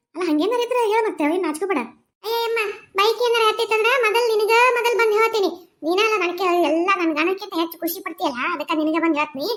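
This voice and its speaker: In a cartoonish character voice, a woman speaks at an extremely high pitch and a moderate pace. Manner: chatty, rustic.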